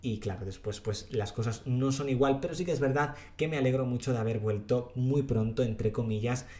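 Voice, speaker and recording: His voice comes out somewhat breathy. The pitch of this man's speech varies in an ordinary way. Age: 30s. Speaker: youtuber podcast host. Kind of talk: solo podcast monologue.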